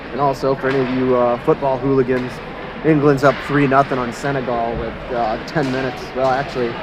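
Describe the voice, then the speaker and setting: The delivery is fairly quick and monotone, with flat intonation. Noticeable background noise sits underneath. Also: man, medium pitch for a man. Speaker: amateur youth hockey game commentator. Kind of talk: live commentary. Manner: loud, yelling.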